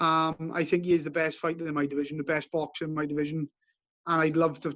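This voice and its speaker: A man with a Welsh accent. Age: 30s. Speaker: bare-knuckle boxer. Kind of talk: interview. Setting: outdoors on a beach. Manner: halting.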